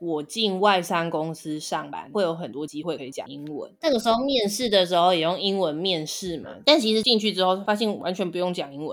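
Her medium-pitched voice moves at a fairly quick pace with lively intonation, big swings in loudness and hardly any pauses, on a very clean recording with a silent background. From Taiwan. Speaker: podcast co-host. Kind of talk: casual chat.

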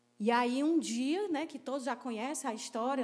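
Recorded with audible room echo, a woman speaks in an animated tone at a high pitch, moving at a moderate pace with ordinary pitch variation. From Ceará, Brazil (Crateús). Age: 40s. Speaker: pastor. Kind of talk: sermon.

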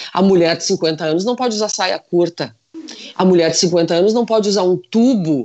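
This is a woman with an unremarkable speaking voice. She talks at a moderate pace with lively intonation. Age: 50s. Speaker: fashion consultant. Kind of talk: casual chat.

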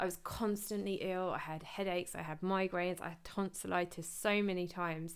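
A woman with an English accent talks at a fairly quick pace with hardly any pauses, her intonation monotone and flat. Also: fairly low pitch for a woman. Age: 30s. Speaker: podcast host, personal trainer. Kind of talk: casual monologue.

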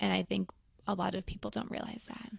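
With lively intonation and some vocal fry, a woman talks at a fairly low pitch in a dry, close sound with no echo. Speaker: midwife. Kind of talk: casual chat. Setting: video call.

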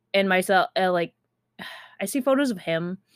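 Here is a woman with a plain, everyday voice and an American accent. Her intonation is lively, and her pace is moderate. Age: 20s. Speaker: podcast host. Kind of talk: casual monologue.

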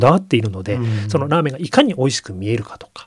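Somewhat breathy, a man rattles along at a very fast pace. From Yokohama, Japan. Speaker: magazine editor-in-chief. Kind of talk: radio interview. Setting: radio studio.

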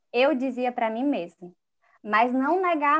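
A woman talks fairly slowly, her pitch varying in an ordinary way, against a quiet background. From Ceará interior, Baturité. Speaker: psychologist. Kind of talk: casual chat.

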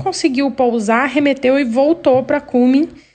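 Against noticeable background noise, a woman speaks at a high pitch and a moderate pace with fairly even intonation. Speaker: listener sending a story. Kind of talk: recorded voice message telling a story. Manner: halting.

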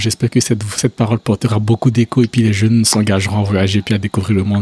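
A man speaks very fast in a fairly low, dark, mellow voice that is somewhat breathy. His intonation is monotone and flat, and the sound is dry and close with no echo. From Côte d'Ivoire. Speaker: podcast host. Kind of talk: casual interview.

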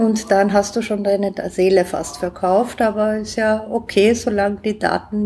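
A woman's somewhat breathy, medium-pitched voice, very slow in pace, with fairly even intonation. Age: 40s. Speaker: innovator and entrepreneur. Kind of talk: interview.

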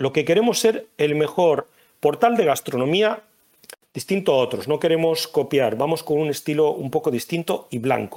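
An unremarkable speaking voice with lively intonation at a moderate pace. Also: man, fairly high pitch for a man. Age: 40s. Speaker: food blogger and entrepreneur. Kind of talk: casual interview.

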